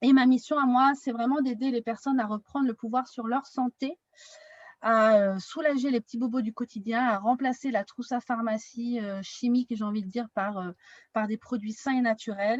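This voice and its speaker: A woman's high voice at a moderate pace, fairly even in intonation, with a dry, close sound and no echo. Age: 30s. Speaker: wellness consultant. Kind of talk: online workshop.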